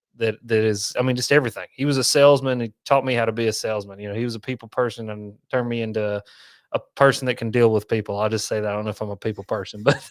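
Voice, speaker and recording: Recorded very cleanly with a silent background and a dry, close sound with no echo, a man with an East Tennessee accent talks at a very fast pace, with medium pitch and fairly even intonation. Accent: east Tennessee Southern. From east Tennessee, Knoxville. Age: 30s. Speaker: fishing content creator. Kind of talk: casual chat.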